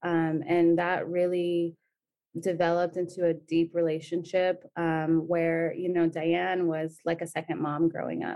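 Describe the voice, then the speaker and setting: This woman's voice sits fairly low, with a dark, mellow tone. Her intonation is monotone and flat. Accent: Californian. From San Diego, Southern California. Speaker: nonprofit program manager. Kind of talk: interview.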